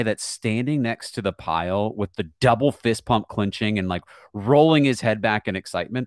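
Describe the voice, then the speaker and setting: A normal speaking voice moves at a moderate pace, with a dry, close sound with no echo on a very clean recording with a silent background. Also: man. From Virginia, US. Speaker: soccer broadcaster. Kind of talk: casual interview.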